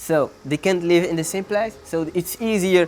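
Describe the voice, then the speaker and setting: Over background music, a man with a Moroccan accent speaks fairly slowly in a high pitch with ordinary pitch variation. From Morocco, Sahara. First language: not English. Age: 20s. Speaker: PhD student and real estate agent. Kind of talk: interview answer.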